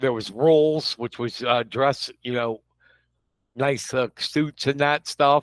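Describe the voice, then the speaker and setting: A man's medium-pitched voice at a very slow pace, with fairly even intonation. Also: dry, close sound with no echo. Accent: American. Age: 50s. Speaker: local news publisher. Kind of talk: casual chat.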